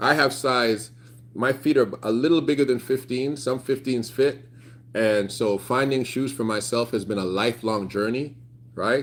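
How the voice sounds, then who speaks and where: With a Canadian accent, a man speaks at a moderate pace and a medium pitch. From Canada, Toronto. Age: 30s. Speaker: YouTuber. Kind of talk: casual livestream chat. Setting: outdoors. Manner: animated.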